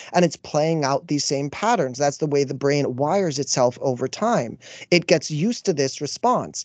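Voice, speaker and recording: A man with a Canadian accent talks at a moderate pace in an ordinary speaking voice, recorded dry and close with no echo against a quiet background. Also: fairly high pitch for a man, lively intonation. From Canada. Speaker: life coach. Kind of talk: casual chat.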